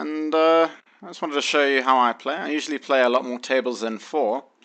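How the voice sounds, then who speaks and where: A man speaks with a South African accent. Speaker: online poker player. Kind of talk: tutorial. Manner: hesitant, many fillers.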